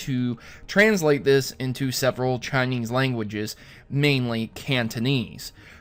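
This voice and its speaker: Music plays behind a man speaking at a very slow pace. He has a medium pitch and an American accent. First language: German. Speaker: gaming news youtuber. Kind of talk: casual news commentary.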